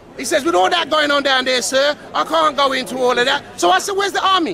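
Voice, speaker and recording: A man's raised, projected voice at an extremely high pitch, animated in tone and lively in intonation, at a very fast pace over crowd noise in the background. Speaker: local resident at riot scene. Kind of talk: heated street argument. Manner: loud; animated, repetitive.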